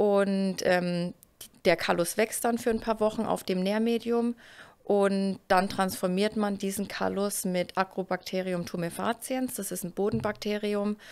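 This woman talks at a fairly slow pace with fairly even intonation. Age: 30s. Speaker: plant biologist, research group leader. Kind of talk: casual interview chat. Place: office. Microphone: studio mic.

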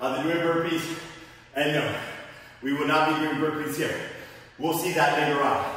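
A man's voice rings with strong room echo. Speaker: fitness instructor. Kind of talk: workout instruction. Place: gym.

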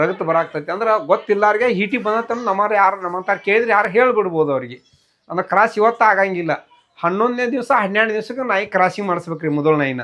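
Pitched high for a man, his voice shows ordinary variation in pitch. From Karnataka, Bagalkot district (Lokapur). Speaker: dog breeder. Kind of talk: interview.

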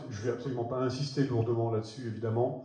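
Strong room echo surrounds a man's dark, mellow tone. He talks at a fairly quick pace.

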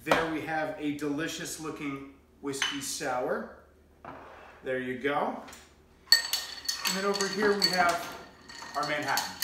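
Long, frequent pauses break up fairly slow speech, with audible room echo and loud background noise. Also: man, fairly high pitch for a man, ordinary pitch variation. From New Hampshire, USA. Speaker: cocktail coach and voice-over artist; cocktail host. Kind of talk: casual talk to camera, cocktail tutorial. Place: home room. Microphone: camera far.

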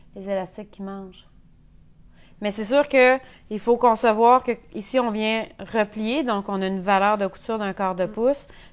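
A woman with a Quebec accent speaks at a fairly slow pace. Her intonation is fairly even, but her loudness swings widely. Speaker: sewing instructor. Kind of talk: tutorial. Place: workshop. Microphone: lapel.

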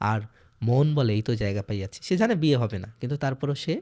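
A man with an unremarkable speaking voice and medium pitch is heard in a very clean recording with a silent background. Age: 20s. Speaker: literature teacher. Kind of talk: lecture.

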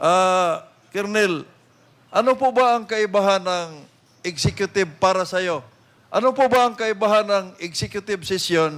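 A loud man with a high pitch, a moderate pace and ordinary pitch variation. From Philippines. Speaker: legislator questioning a witness; witness. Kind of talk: congressional hearing interrogation. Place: hall. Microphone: podium.

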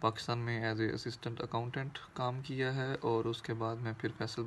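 A man speaks in a monotone, flat intonation over light background noise. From Pakistan, Faisalabad (Punjab); Punjab, Pakistan. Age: 30s. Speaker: workshop participant. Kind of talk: recorded self-introduction message. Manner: halting. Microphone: phone near.

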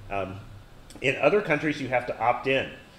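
There is audible room echo around this man's voice. He speaks at a medium pitch. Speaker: university lecturer. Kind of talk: lecture. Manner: many fillers and false starts.

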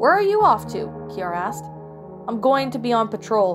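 Moderately paced female speech over background music. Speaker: story narrator. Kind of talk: story reading.

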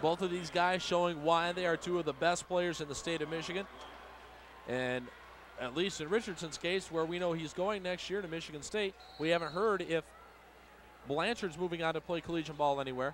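Speech moves at a fairly quick pace with fairly even intonation. The sound is dry with no echo, over light background noise. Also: man, high pitch for a man. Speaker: radio color commentator. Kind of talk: live commentary. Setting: arena broadcast booth.

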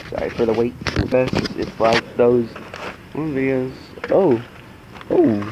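Loud background noise sits behind a man's voice. He uses fairly even intonation and long, frequent pauses. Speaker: carnivorous plant vlogger. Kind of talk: angry rant over a ruined plant unboxing, swearing and venting. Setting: home video, camera vlog. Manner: outraged, agitated, rapid and exasperated. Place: garden. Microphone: phone near.

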